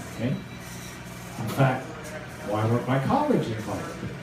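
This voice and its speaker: With noticeable background noise and audible room echo, the voice shows ordinary pitch variation. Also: man. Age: 70s. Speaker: speaker answering audience questions. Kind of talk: Q&A answer at a political meeting.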